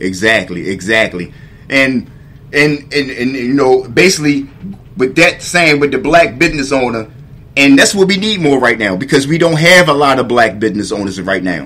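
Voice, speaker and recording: A man's medium-pitched voice with very wide pitch swings. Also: moderate pace. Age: 40s. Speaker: podcast host. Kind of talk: casual interview chat.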